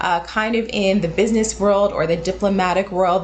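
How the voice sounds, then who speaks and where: Over noticeable background noise, a woman with a General American accent speaks at a fairly quick pace. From United States. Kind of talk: casual educational explanation to camera.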